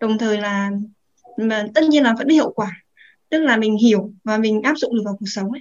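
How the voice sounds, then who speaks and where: A normal speaking voice from a woman, fairly high in pitch, moving at a fairly quick pace with ordinary pitch variation. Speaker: audience member asking a question. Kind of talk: casual Q&A. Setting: online live stream, speaking on mic.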